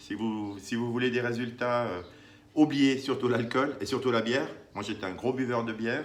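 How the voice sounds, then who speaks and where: A man talks at a medium pitch, and audible echo from the room surrounds his voice. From Italy (Naples). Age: 50s. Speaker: vlogger sharing diet experience. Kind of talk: personal testimony vlog. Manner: hesitant, many fillers.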